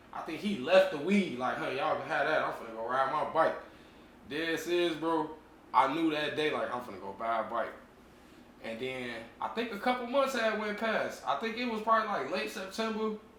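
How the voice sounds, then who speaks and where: Moderate-paced speech full of very wide pitch swings, amid noticeable background noise and audible room echo. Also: man, high pitch for a man. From Chicago Heights, Illinois (moved from Cleveland as a kid). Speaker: dirt bike rider. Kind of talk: casual interview.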